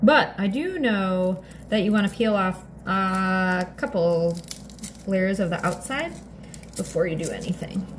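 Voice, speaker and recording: Over light background noise, a woman talks at a fairly slow pace with ordinary pitch variation and long, frequent pauses. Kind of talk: casual vlog chat. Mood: chatty, playful. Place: kitchen. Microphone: phone near.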